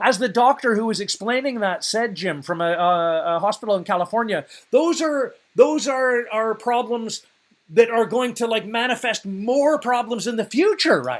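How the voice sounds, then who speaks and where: A man speaks in an animated tone at an extremely high pitch, with lively intonation and a moderate pace. The recording is very clean, with a silent background. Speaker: podcast host. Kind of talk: ranting news commentary podcast. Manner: animated, ranting.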